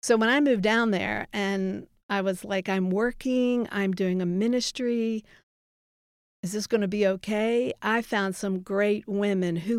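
A woman with an American accent speaks in an unremarkable speaking voice at a medium pitch. Her pace is fairly slow and her intonation fairly even. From Baltimore, Maryland. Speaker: youth ministry director. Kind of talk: testimony.

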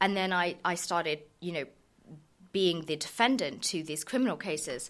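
The recording is very clean, with a silent background. A woman speaks at a moderate pace in a fairly low voice. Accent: southern English. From southern England, Surrey. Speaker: lawyer and tech founder. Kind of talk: interview. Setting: studio. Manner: animated.

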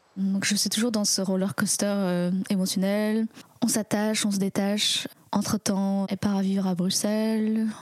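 Speaking at a fairly slow pace, a woman holds a medium pitch with monotone, flat intonation and very even loudness. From France. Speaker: storyteller. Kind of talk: personal testimony. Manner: reflective, hesitant.

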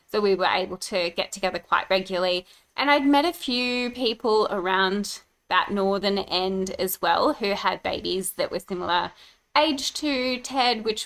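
The speaker talks at a moderate pace with lively intonation in an Australian accent. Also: woman. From Brisbane, Australia. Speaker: podcast host and mum. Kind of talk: casual chat.

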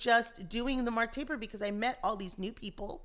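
A woman speaks with an American accent at a moderate pace. Her pitch is fairly high. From Los Angeles, US. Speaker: actress. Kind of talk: casual interview. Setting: at host's home. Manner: laughs often.

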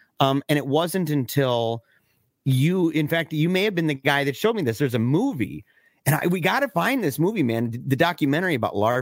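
Recorded very cleanly against a silent background, with a dry, close sound and no echo, a man with an ordinary speaking voice talks at a fairly quick pace in a fairly high pitch, with lively intonation and very even loudness. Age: 40s. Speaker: film podcast co-host. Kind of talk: casual chat.

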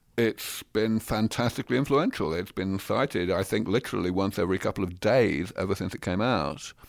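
On a very clean recording with a silent background, a man with a southern English accent speaks in a fairly low pitch with ordinary pitch variation and hardly any pauses. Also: fairly quick pace. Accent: southern English (British). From London, England. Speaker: scientist. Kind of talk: interview.

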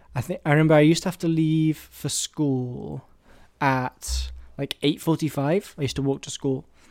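On a very clean recording with a silent background, a man with an English accent speaks at a fairly high pitch with ordinary pitch variation. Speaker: film podcast host. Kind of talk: casual monologue. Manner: fast; hesitant, many fillers.

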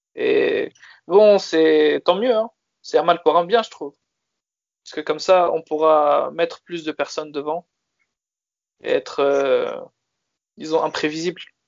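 This man speaks at a fairly slow pace with big swings in loudness. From France. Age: 20s. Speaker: football fan. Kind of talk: casual chat.

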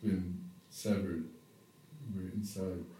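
Very slow delivery, somewhat breathy, with audible echo in the room. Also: man. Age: 50s. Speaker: yoga teacher and therapist. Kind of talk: spiritual monologue. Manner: halting.

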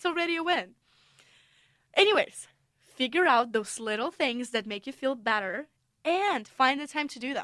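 A woman with a Russian accent, high pitch and bright, sharp tone speaks at a moderate pace with long, frequent pauses, very wide pitch swings and big swings in loudness. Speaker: podcast host, international student. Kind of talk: solo podcast monologue.

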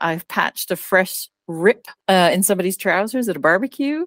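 Heard in a dry, close sound with no echo, a woman with a normal speaking voice talks at a moderate pace and medium pitch with lively intonation. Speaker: podcast co-host. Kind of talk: casual chat.

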